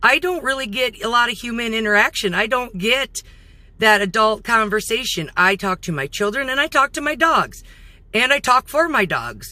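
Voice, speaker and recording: On a very clean recording with a silent background, a woman speaks loudly in a bright, sharp tone with lively intonation. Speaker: vlogger. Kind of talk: casual vlog talk to camera. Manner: halting, with fillers.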